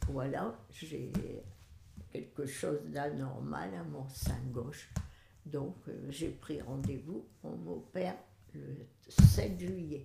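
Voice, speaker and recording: Long, frequent pauses break up this very slow delivery. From northern France. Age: 80s+. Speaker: great-grandmother. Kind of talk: life story interview.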